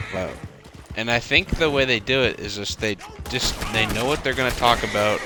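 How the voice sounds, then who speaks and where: With music in the background, the speech keeps a moderate pace and ordinary pitch variation. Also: man, medium pitch for a man. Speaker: gaming youtuber. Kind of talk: casual gameplay commentary. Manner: stutters, many fillers; rambling, halting.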